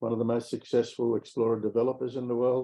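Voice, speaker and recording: An Australian-accented man at a medium pitch speaks at a very fast pace. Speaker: mining company executive. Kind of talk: investor presentation.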